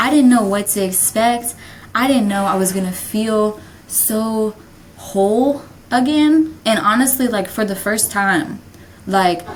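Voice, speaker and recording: A woman at a fairly slow pace with fairly even intonation, amid noticeable background noise and audible room echo. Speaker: podcast host. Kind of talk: casual monologue. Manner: halting.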